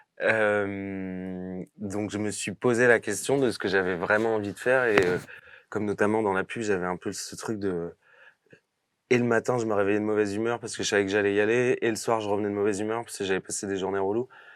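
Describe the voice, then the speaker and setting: The delivery is monotone and flat in intonation, moving at a fairly quick pace. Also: man, fairly low pitch for a man. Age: 30s. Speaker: actor. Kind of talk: interview. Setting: podcast studio. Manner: hesitant, many fillers; casual.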